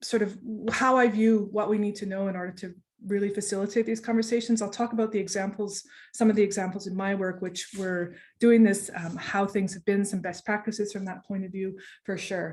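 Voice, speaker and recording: In a Canadian accent, the speaker talks at a fairly quick pace with monotone, flat intonation, a somewhat breathy sound and big swings in loudness. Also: woman, medium pitch for a woman. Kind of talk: online presentation. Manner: fast; hesitant, many fillers.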